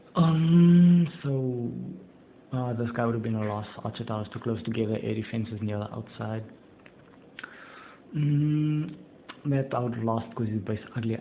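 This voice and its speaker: A man at medium pitch and a fairly slow pace, with ordinary pitch variation, amid noticeable background noise. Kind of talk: casual gameplay commentary.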